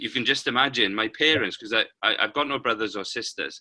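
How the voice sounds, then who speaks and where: Speaking in a Welsh accent, a man moves at a fairly quick pace with a bright, sharp tone. The sound is dry and close, with no echo. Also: very clean recording, silent background. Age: 50s. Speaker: paralympic cyclist and motivational speaker. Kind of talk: interview.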